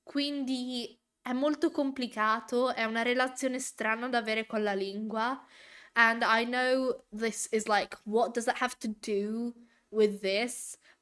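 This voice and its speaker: A woman with a normal speaking voice, fairly high pitch and fairly even intonation, at a fairly slow pace. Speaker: vtuber reacting to a show. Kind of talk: casual live reaction chat.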